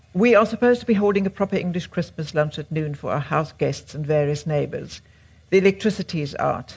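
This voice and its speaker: A woman speaks in a fairly low, somewhat breathy voice. Her pitch varies in an ordinary way. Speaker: writer and interviewer. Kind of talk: onstage interview. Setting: stage with audience.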